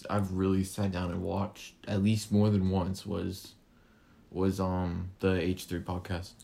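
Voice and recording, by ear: A dark, mellow tone with vocal fry, monotone, flat intonation and a fairly slow pace. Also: man, low pitch for a man.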